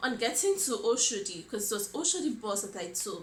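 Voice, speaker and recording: A woman speaks in a Nigerian accent with fairly even intonation. Audible room echo and noticeable background noise are present. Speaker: vlogger. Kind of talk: personal storytelling vlog. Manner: hesitant, many fillers.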